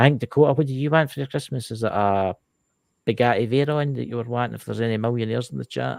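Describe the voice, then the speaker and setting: Talking at a very fast pace in a Scottish Lowland accent, a man of medium pitch uses ordinary pitch variation on a very clean recording with a silent background and a dry, close sound with no echo. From Scotland, lowlands. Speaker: live show host. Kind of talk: casual chat. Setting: livestream with chat. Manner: animated.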